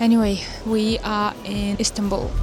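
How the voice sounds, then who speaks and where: Against background music and audible room echo, a woman speaks at a fairly slow pace in a fairly high pitch. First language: not English. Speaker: travel vlogger. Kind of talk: vlog narration.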